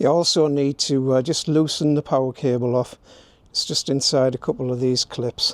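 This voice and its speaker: With a northern English accent, a man talks at a moderate pace in a flat monotone, keeping his loudness very even. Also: medium pitch for a man, dry, close sound with no echo. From northern England. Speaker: YouTube DIY presenter. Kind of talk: tutorial. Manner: casual, chatty.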